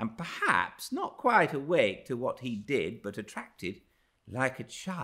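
The voice heard here is an unforced reading voice.

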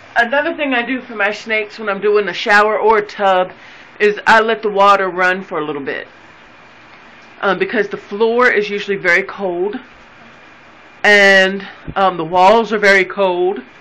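The speech moves at a moderate pace. Long, frequent pauses break it up. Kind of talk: casual tutorial narration. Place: bathroom. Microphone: phone near.

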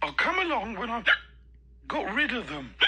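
Using a put-on character voice, a female-sounding speaker sits fairly high in pitch for a woman. Her moderate pace carries very wide pitch swings.

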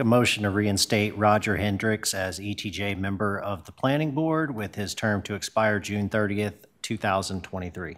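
With an ordinary speaking voice, the speaker goes at a fairly slow pace with hardly any pauses. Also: man, fairly low pitch for a man, ordinary pitch variation. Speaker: town commissioner. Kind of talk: council discussion. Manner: candid. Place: meeting room. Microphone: podium.

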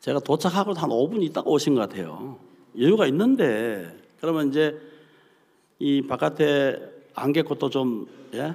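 A man speaks fairly slowly at a fairly high pitch, with vocal fry. His pauses are long and frequent. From South Korea. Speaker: preacher. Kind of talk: sermon. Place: hall. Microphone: podium.

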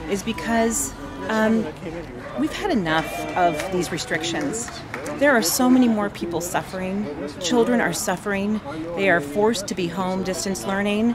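A woman speaks at a moderate pace with ordinary pitch variation. Long, frequent pauses break up her speech, and clear music plays in the background. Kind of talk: interview answer. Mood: earnest, concerned. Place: street. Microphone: phone near.

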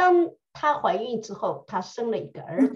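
Her fairly high voice swings very widely in pitch and slips into vocal fry, over a quiet background, from a woman speaking. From China. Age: 40s. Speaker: English and Bible teacher. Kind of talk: tutorial. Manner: animated. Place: home room. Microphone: webcam.

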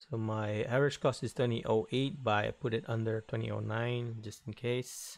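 Against a quiet background, a man speaks fairly slowly at a medium pitch. He has a plain, everyday voice with fairly even intonation. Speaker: day trader. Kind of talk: trading recap voiceover.

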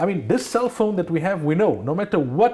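At a fairly quick pace, a man talks with lively intonation and a dark, mellow tone against a quiet background. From South Africa. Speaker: Islamic scholar and radio personality; radio personality. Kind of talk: religious talk show discussion. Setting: TV studio. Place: studio. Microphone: lapel.

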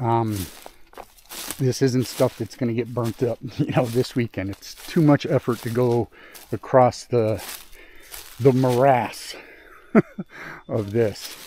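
A man talks at a very slow pace and a medium pitch, with long, frequent pauses and fairly even intonation. The sound is dry with no echo, over light background noise. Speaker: outdoor work vlogger. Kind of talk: casual vlog narration. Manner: halting, many fillers. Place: forest. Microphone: phone near.

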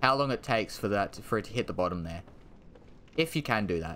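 A man with an Australian accent, animated and bright, sharp in tone, with very wide pitch swings over light background noise. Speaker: gaming streamer. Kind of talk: live gameplay commentary.

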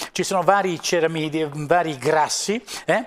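Ordinary pitch variation from a man. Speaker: cosmetics lecturer. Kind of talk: lecture. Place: studio. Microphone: lapel.

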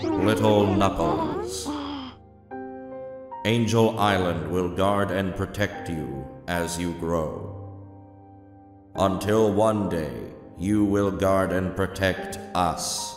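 A man puts on a cartoonish character voice, fairly low-pitched and very slow. Clear music plays in the background, and there is a clear echo. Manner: solemn, tender.

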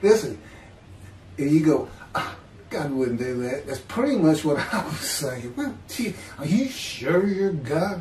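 Against light background noise and audible room echo, a man talks at a fairly slow pace. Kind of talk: casual video chat testimony. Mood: animated, laughing at times. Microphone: webcam.

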